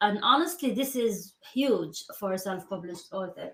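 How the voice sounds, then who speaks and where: A woman with a non-native accent at a fairly slow pace, ordinary pitch variation. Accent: foreign. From Middle East. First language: non-English. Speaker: podcast host. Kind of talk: interview. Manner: hesitant, many fillers.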